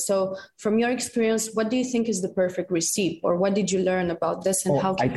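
Over noticeable background noise, a woman with a Romanian accent speaks at a very fast pace. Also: medium pitch for a woman, ordinary pitch variation, very even loudness. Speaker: community manager, podcast team member asking a question.

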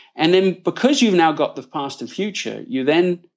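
A man with an English accent. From northern England (Leeds). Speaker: author. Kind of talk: interview. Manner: hesitant with fillers.

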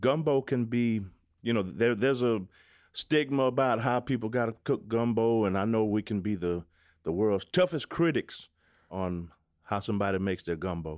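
Lively in intonation and moderate in pace, a man with a Southwest Louisiana accent is heard on a very clean recording with a silent background. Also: medium pitch for a man. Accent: Southwest Louisiana Creole English. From Southwest Louisiana, Calcasieu Parish. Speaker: zydeco musician. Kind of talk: casual interview.

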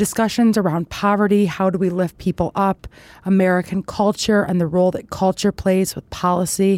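In a very clean recording with a silent background and a dry, close sound without echo, a woman uses a normal speaking voice at medium pitch and a moderate pace. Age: 30s. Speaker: political campaign figure. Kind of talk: interview.

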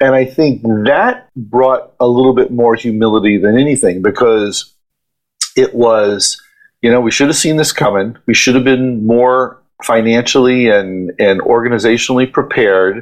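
An ordinary speaking voice, a man's at medium pitch, comes in an American accent at a moderate pace with fairly even intonation and very even loudness. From Ohio, US Midwest. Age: middle-aged. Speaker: event company partner. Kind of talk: casual interview.

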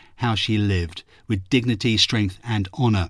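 The recording is very clean, with a silent background and a dry, close sound with no echo. A man with an unremarkable speaking voice talks at a moderate pace. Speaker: radio host interviewer. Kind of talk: scripted intro and interview.

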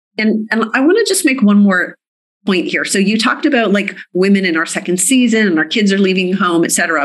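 Somewhat breathy, a woman speaks at medium pitch. Her pace is fairly quick. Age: 50s. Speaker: medical doctor. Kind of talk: interview.

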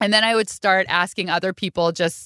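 A woman speaks loudly at a medium pitch with a bright, sharp tone and a fairly quick pace, her voice dry and close with no echo on a very clean recording over a silent background. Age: 40s. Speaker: food podcaster. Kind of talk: casual chat.

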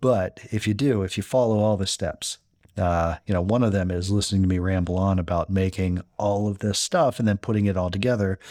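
A man speaks in a normal speaking voice at a fairly low pitch, with fairly even intonation and very even loudness, in a dry, close recording with no echo that is very clean against a silent background. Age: 30s. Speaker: cooking podcast host. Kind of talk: casual instructional monologue. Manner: casual with many fillers and repetitions.

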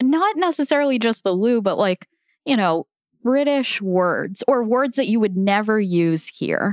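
A woman with a fairly high pitch speaks in a plain, everyday voice at a fairly slow pace, with lively intonation and very even loudness. The sound is dry and close with no echo, on a very clean recording with a silent background. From US, Filipino family. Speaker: podcast producer. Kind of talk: casual chat.

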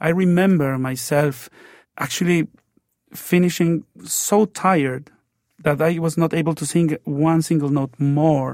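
In a Mexican accent, a man speaks at a fairly high pitch with fairly even intonation and a fairly slow pace. The sound is dry and close with no echo, on a very clean recording with a silent background. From Mexico. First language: Spanish. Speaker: opera tenor. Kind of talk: interview. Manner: halting, with repeated fillers.

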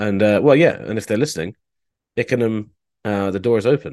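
With a plain, everyday voice, a man moves at a fairly quick pace, his medium pitch showing ordinary variation. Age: 30s. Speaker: sports journalist. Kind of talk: casual chat.

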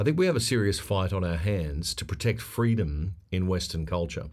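With an Australian accent, a man with a very deep, low pitch speaks in lively intonation on a very clean recording with a silent background. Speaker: podcast host, former newsreader. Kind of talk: casual chat.

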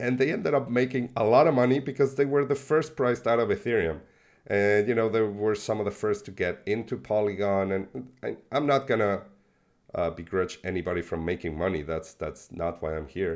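A man with a Spanish accent talks at a fairly quick pace. His fairly low voice carries lively intonation. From Mexico, born in Buenos Aires, Argentina. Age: 40s. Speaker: crypto software developer and investor. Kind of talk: casual interview conversation. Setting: video call.

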